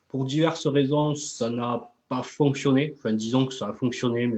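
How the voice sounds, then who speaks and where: A man in a Toulouse accent speaks at a moderate pace, his medium pitch carrying ordinary variation. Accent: southern French (Toulouse). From southern France, Toulouse. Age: 30s. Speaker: MLM entrepreneur and coach. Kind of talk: live interview. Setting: live video stream. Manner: hesitant, many fillers.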